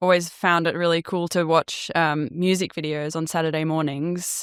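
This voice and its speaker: In an Australian accent, the voice keeps a monotone, flat intonation at a moderate pace, with a dry, close sound with no echo in a very clean recording with a silent background. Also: woman. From Australia, Melbourne. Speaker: 3D artist and motion designer. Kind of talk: podcast interview.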